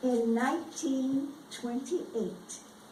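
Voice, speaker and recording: A woman with an American accent speaks at a very slow pace and a high pitch with ordinary pitch variation, amid audible room echo and noticeable background noise. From US South. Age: 80s+. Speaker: retired education official. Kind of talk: speech.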